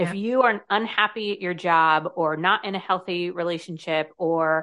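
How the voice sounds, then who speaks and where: This is an ordinary speaking voice with a General American accent and ordinary pitch variation. The background is quiet. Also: woman. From US. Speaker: author and confidence speaker. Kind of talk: interview chat.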